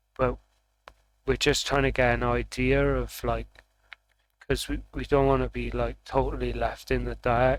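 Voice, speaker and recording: A loud male voice. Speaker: vlogger doing tarot readings. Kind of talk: casual vlog monologue. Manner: talking kind of loud; halting, many fillers and restarts.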